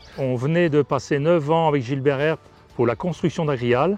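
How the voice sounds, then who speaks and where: Against music in the background, a man speaks at a moderate pace. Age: 60s. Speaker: farmer and cooperative board member. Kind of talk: testimony. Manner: halting.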